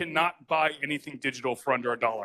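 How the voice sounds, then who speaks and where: Talking at a fairly quick pace, a man has a bright, sharp tone in a dry, close sound with no echo. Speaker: startup founder presenting at tech event. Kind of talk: conference talk. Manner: fast; animated. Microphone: poor audio capture.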